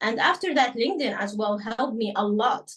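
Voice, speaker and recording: A woman with an Arabic accent speaks in a fairly high pitch with lively intonation. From Sudan. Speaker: journalist. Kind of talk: interview. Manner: halting, many fillers.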